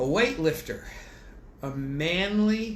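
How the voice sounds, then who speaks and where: In a room with audible echo, a man speaks at a fairly high pitch with lively intonation. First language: French. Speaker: bible teacher. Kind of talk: bible study lecture. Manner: animated; conversational.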